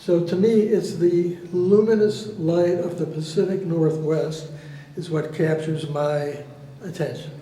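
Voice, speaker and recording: Over noticeable background noise, a man talks at a very slow pace in a high pitch with fairly even intonation. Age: 80s+. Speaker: artist. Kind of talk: artist talk presenting own works.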